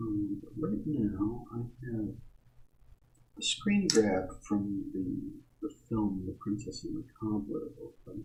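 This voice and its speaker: A man speaks softly. His pace is very slow. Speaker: artist livestreamer. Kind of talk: casual livestream commentary while drawing. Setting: livestream. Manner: soft-spoken. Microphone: quiet audio, boosted sixteen decibels, mic close to mouth.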